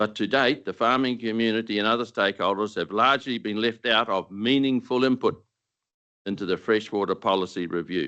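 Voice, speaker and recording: A man with a New Zealand accent speaks fairly quickly at a medium pitch, his tone bright and sharp. His intonation stays fairly even over a quiet background. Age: 70s. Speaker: retired dairy farmer speaking at a council deputation. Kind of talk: formal submission to council. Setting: council meeting chamber. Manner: formal, read from prepared text.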